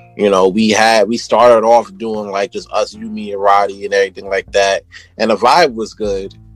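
With a New York accent, the speaker keeps a fairly even intonation while music plays in the background. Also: man, fairly low pitch for a man, moderate pace. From New York City, Brooklyn. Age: 30s. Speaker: podcast host. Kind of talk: casual chat.

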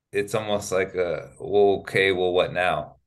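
A man speaks with an American accent at a fairly slow pace. The background is quiet. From US West Coast, Sacramento, California. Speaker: professional basketball player. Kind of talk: casual interview conversation.

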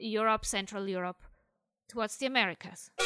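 A woman's fairly high, bright, sharp voice in a dry, close sound with no echo. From Switzerland. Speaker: atheist writer, listener contributor. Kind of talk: casual spoken commentary.

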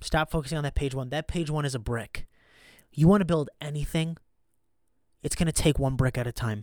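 In a very clean recording with a silent background, a man with a fairly high pitch and ordinary pitch variation speaks at a fairly quick pace. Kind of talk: pep talk. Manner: intense, emphatic, motivational, driving repetition; punchy, fired-up, direct.

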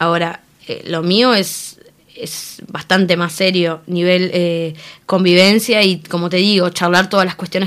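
A woman in a Rioplatense accent speaks at a fairly slow pace, with a fairly low pitch and fairly even intonation. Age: young. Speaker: interviewee, free love activist. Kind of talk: interview.

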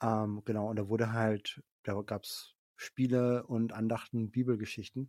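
A man's voice sits at medium pitch, dark and mellow in tone, monotone and flat, on a very clean recording with a silent background. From Franconia, Germany (Middle Franconia). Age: 40s. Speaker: social worker and theology graduate. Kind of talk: casual interview, faith testimony. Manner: hesitant, many fillers.

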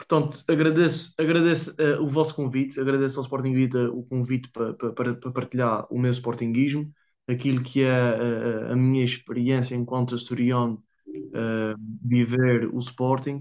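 This man speaks with an Azorean accent, his medium pitch held to fairly even intonation. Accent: Azorean (São Miguel). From Azores, São Miguel island. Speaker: football fan. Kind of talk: casual interview. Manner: fast.

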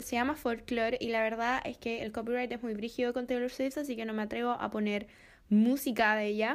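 With a Chilean accent, a woman talks at a fairly quick pace and a high pitch in a very clean recording with a silent background. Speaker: podcast host. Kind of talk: casual chat.

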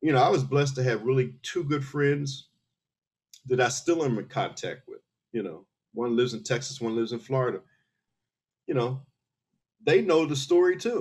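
Pausing long and often, a man speaks in a somewhat breathy voice with an American accent and ordinary pitch variation. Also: medium pitch for a man, moderate pace. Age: 60s. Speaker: military veteran. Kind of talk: casual chat.

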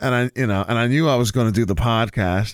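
Speaking at a moderate pace, a man at a medium pitch has a plain, everyday voice on a very clean recording with a silent background. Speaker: podcast host. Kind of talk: casual chat. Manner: casual, jokey.

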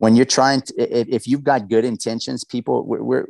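In an American accent, a man speaks fairly quickly at medium pitch with an energetic tone, sounding dry and close with no echo over a quiet background. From South Louisiana, US South. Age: 40s. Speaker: real estate investor and coach. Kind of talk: casual interview. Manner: loud, energetic; rambling storyteller.

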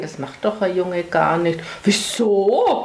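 Here a woman talks at a fairly slow pace with a fairly low pitch and fairly even intonation. Audible room echo and noticeable background noise fill the recording. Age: 60s. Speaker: mother of queer child, parent group member. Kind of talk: interview.

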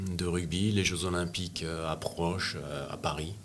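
A man speaks at a fairly slow pace, his pitch very deep and low. Audible room echo and noticeable background noise surround him. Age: 60s. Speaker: press photographer. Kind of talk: interview. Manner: halting, with frequent repetitions.

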